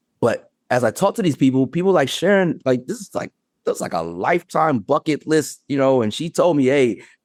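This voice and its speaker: A man with an unremarkable speaking voice talks at a fairly quick pace with a fairly high pitch and lively intonation. The very clean recording has a silent background and a dry, close sound with no echo. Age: 50s. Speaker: TEDx speaker. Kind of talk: casual chat.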